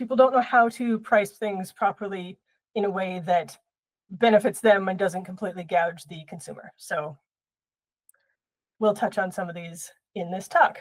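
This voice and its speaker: A woman's raspy, put-on character voice at medium pitch and moderate pace, with ordinary pitch variation and long, frequent pauses. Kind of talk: public talk or presentation. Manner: talking too fast.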